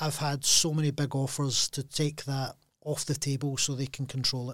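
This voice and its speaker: A man with a Glaswegian accent speaks in a somewhat breathy, fairly high-pitched voice with monotone, flat intonation. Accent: Glaswegian Scottish. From Scotland, Glasgow. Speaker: packaging entrepreneur. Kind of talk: casual interview. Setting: studio.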